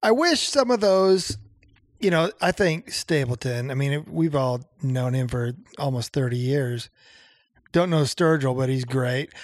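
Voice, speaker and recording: A man with a fairly high pitch and an ordinary speaking voice, ordinary pitch variation and a fairly slow pace, on a very clean recording with a silent background. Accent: American. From Nebraska. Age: 50s. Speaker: songwriter and music producer. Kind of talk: casual chat. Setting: home basement studio.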